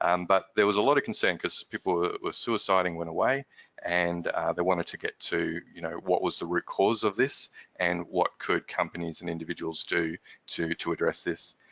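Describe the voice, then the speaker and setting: A man with an Australian accent, speaking at a moderate pace. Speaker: company managing director, workplace stress expert. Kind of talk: webinar discussion.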